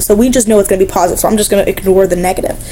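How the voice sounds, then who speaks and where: A woman's voice with noticeable background noise. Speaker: math teacher. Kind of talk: lecture. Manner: fast; casual, with fillers.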